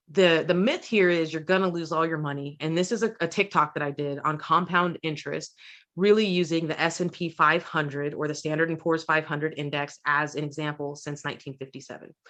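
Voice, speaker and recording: A woman speaks at a fairly quick pace in a very deep, low pitch with ordinary pitch variation, against a quiet background. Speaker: podcast co-host. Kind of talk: podcast discussion.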